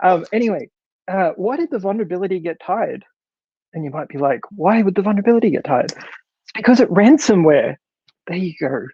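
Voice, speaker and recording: A man with an Australian accent talks at a fairly quick pace in a high voice. His intonation is lively, with big swings in loudness. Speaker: developer advocate, conference speaker. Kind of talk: conference talk. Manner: animated, many fillers and restarts.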